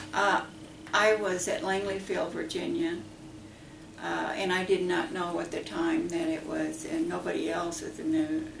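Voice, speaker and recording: With an American accent and a fairly slow pace, the speech comes through noticeable background noise and audible room echo. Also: woman. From US Midwest, southern Illinois. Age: 80s+. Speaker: war veteran. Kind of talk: oral history interview. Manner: halting.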